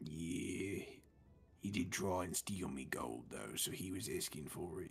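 Clear background noise sits behind a man speaking fairly slowly in a very deep, low voice. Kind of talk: in-character table roleplay. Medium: actual play. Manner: encouraging, affectionate, then breezy.

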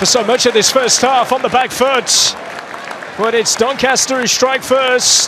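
Crowd noise fills the background as a man talks at a fairly slow pace. His pitch is extremely high. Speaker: football commentator. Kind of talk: live football match commentary. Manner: builds excitement in short bursts as chances come.

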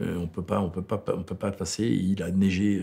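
This man talks at a fairly quick pace with a fairly low pitch. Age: 60s. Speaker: film director. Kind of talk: interview. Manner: halting.

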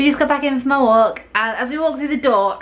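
A woman's voice with a fairly bright tone sits over faint background noise.

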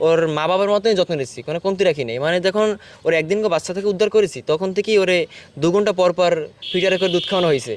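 The man's voice is high-pitched with ordinary pitch variation. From Bangladesh, Jhalokati district. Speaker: forest department worker. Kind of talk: interview.

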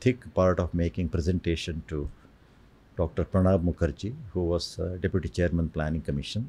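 This man has an Indian accent and a very deep, low voice. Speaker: space scientist and geologist. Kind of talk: oral history interview. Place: studio. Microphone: studio mic.

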